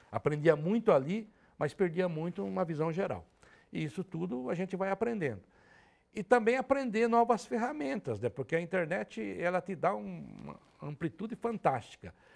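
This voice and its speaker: Talking at a moderate pace, a man with a high pitch moves through very wide pitch swings. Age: 60s. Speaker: sports radio reporter and commentator. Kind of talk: interview, casual conversation.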